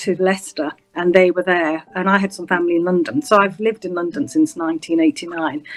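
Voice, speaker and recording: Heard in a dry, close sound with no echo, a woman with a slight Yorkshire accent speaks at a medium pitch. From northern England, Bradford, West Yorkshire. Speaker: senior prosecutor. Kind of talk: interview. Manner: hesitant, many fillers.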